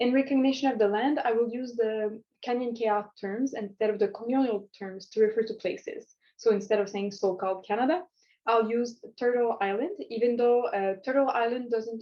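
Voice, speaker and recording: With a Quebec accent, a woman speaks at a moderate pace in a fairly high pitch, her pitch variation ordinary. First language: French. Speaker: community psychology student presenter. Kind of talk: recorded conference presentation. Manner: hesitant, many fillers and restarts.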